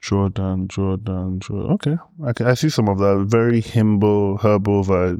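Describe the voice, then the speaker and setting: A man talks in a normal speaking voice, pitched fairly low. His pitch varies in an ordinary way, and his pace is moderate. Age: 30s. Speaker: podcast guest. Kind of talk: casual chat.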